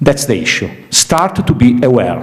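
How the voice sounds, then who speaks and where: Speaking with an Italian accent, a man has a fairly high pitch. Audible room echo and noticeable background noise surround him. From Italy. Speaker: series development professional, panel speaker. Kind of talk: panel Q&A discussion. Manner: halting, repeats words.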